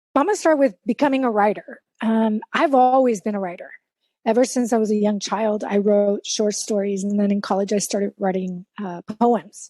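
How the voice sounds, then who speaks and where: A woman speaks with a Spanish accent and a dark, mellow tone. The sound is dry and close, with no echo. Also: fairly high pitch for a woman, ordinary pitch variation, moderate pace. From South Texas. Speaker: life coach and keynote speaker. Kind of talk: interview.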